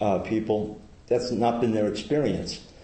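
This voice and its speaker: Audible room echo hangs around this man's voice. He talks at a moderate pace and a fairly low pitch. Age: 60s. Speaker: Buddhist community member giving a talk. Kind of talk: dharma talk to a group.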